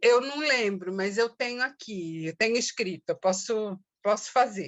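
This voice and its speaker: A woman's fairly high voice, with ordinary pitch variation, proceeds at a very slow pace. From Brazil, São Paulo. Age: 60s. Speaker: activist and poet. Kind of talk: interview. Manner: halting, many fillers.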